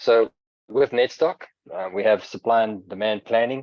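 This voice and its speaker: A man with a South African accent speaks at a medium pitch. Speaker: software vendor presenter. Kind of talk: product webinar presentation. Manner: frequent filler words (um, uh).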